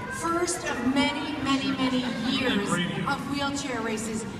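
Audible room echo mixes with loud background noise in this clip. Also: woman. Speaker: radio host. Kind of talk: live event banter into a handheld mic. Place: hall. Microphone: camera far.

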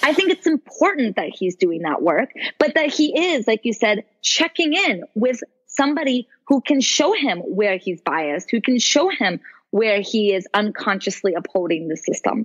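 A woman's fairly high, somewhat breathy voice at a moderate pace, with very wide pitch swings. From Brazil. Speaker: women's coach. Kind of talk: interview.

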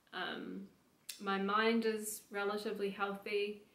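A woman with a medium pitch talks amid audible room echo. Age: 20s. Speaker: fitness coach and personal trainer; fitness coach, personal trainer. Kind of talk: personal testimony monologue. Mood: reflective, personal story. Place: home room.

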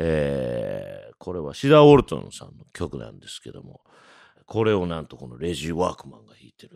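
Speaking at a fairly quick pace, a man with a very deep, low pitch makes very wide pitch swings and big swings in loudness. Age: 40s. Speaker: jazz trumpeter. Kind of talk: casual monologue. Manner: animated; frequent fillers.

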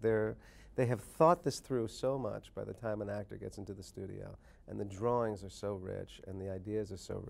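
Big swings in loudness mark a man's fairly low voice, which moves at a moderate pace with ordinary pitch variation. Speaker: interviewed actor. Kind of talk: interview answer. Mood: relaxed, amused. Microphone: lapel.

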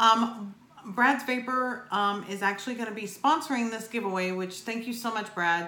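The speaker talks at a fairly quick pace with ordinary pitch variation, and the room echo is audible. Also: woman. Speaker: vape reviewer vlogger. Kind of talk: casual vlog chat. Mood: grateful, upbeat. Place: home room.

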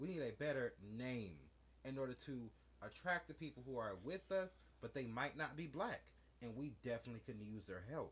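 Animated in tone, a man speaks at medium pitch with lively intonation and a somewhat breathy quality. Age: 20s. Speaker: podcast co-host. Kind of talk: casual chat. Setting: studio.

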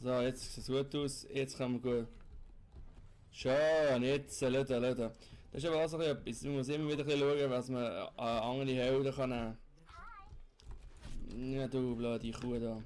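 Slow and flat, a man with a Swiss accent speaks at medium pitch in a monotone at a fairly slow pace. Long, frequent pauses break up his speech. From Switzerland. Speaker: let's player. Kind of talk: casual gameplay commentary.

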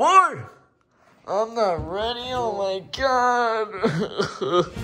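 A put-on character voice moves at a very slow pace with a fairly high pitch. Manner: loud, excitable, shouting.

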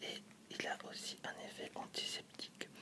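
Someone whispers in a soft-spoken way over noticeable background noise. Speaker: presenter. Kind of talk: tutorial. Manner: soft French ASMR whisper.

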